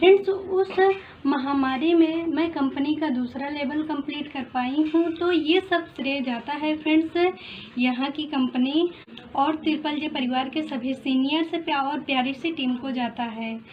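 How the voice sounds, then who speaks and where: A high-pitched woman's voice with ordinary pitch variation amid noticeable background noise. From Prayagraj, Uttar Pradesh, India. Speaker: network marketing member. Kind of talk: testimony.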